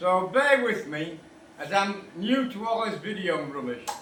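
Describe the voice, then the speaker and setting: A man with a British accent projects a raised, high-pitched voice at a fairly slow pace, his pitch swinging very widely amid audible room echo and noticeable background noise. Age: 70s. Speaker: motorcycle restorer. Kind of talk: tutorial. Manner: casual, chatty.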